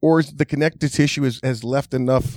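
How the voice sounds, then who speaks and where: A man speaks at a moderate pace and medium pitch with fairly even intonation. Music plays behind the dry, close sound, which has no echo. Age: 40s. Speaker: massage therapist. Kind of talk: casual chat. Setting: studio.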